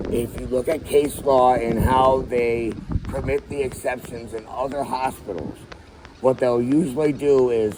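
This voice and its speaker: Over noticeable background noise, a man talks at a medium pitch with fairly even intonation. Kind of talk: heated debate.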